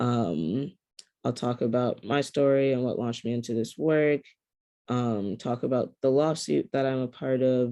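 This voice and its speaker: With an American accent, a man speaks at a medium pitch in a dark, mellow tone. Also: ordinary pitch variation, moderate pace. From rural upstate New York. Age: 20s. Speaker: climate justice activist. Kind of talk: keynote talk. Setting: video call.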